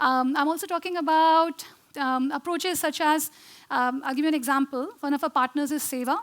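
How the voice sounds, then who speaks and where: Recorded very cleanly against a silent background, a woman speaks at a high pitch with ordinary pitch variation. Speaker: architect and social design founder. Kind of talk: conference talk. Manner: fast; hesitant with many fillers.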